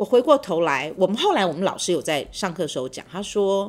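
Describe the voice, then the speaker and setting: This woman's voice has vocal fry and sits at a medium pitch. She speaks at a moderate pace. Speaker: university professor. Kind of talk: interview, personal storytelling. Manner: hesitant, many fillers.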